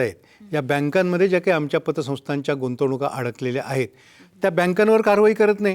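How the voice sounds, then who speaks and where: On a very clean recording with a silent background, a man speaks in a high voice. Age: 70s. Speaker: cooperative federation president. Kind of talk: TV interview. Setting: studio. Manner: earnest, impassioned.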